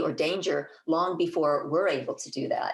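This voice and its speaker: A woman talks at a moderate pace. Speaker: herbalist and master gardener speaking at a conference. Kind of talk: conference talk. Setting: conference presentation. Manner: halting, with fillers and restarts.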